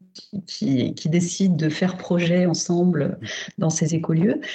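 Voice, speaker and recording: A woman speaks at a very slow pace with a fairly low pitch. Her voice has a dark, mellow tone and is somewhat breathy. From Paris, France. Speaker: urban planning researcher. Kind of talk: remote interview. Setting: remote call. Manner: halting, many fillers.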